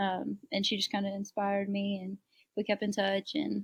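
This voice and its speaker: A woman's somewhat breathy voice with an American accent at a medium pitch, dry and close with no echo. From US South, South Carolina. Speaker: abuse survivor and nonprofit founder. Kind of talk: interview.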